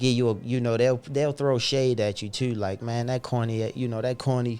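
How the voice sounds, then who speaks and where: A man of medium pitch speaks with an American accent, his tone dark and mellow and his intonation monotone and flat. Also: moderate pace. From Baltimore, Maryland. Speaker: podcaster and entrepreneur. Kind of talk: casual podcast chat.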